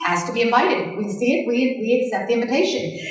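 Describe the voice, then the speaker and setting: The woman talks at a fairly quick pace, with audible room echo. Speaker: sales team trainer. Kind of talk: training talk to a live group. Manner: fast.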